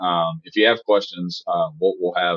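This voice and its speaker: Moderate pace, in a Southern US accent. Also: man. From US South. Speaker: cyber insurance specialist. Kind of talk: podcast interview. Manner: animated, talkative.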